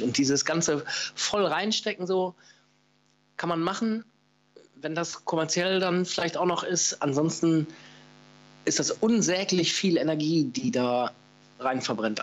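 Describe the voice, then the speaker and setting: Swinging his pitch very widely, a man talks at a high pitch and a fairly slow pace. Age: 40s. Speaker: paintball player and former stream commentator. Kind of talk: casual interview.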